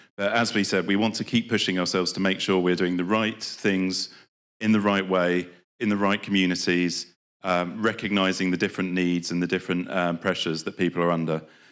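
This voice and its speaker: In a British accent, a man with a very deep, low pitch talks at a fairly quick pace in a monotone, flat intonation at very even loudness, on a very clean recording with a silent background. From Britain. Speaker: development programme official. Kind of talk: conference speech. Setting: conference with live audience. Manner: hesitant, many fillers.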